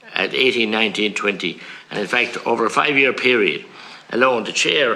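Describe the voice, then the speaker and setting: A man with a rural Irish accent speaks at a fairly quick pace, at medium pitch with ordinary pitch variation. Noticeable background noise runs underneath. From rural Ireland. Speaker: politician. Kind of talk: committee hearing questioning. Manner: forceful, indignant.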